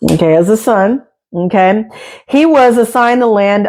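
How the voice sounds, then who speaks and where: A woman with a plain, everyday voice talks at a moderate pace with lively intonation. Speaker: book reader and commentator. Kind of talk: reading aloud with commentary. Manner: casual, conversational asides.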